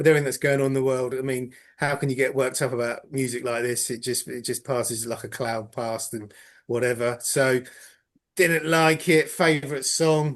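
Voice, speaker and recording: A man with an English accent talks at a fairly high pitch. His pace is moderate, and his pitch varies in an ordinary way. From England. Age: 50s. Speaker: podcast panelist. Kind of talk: casual chat.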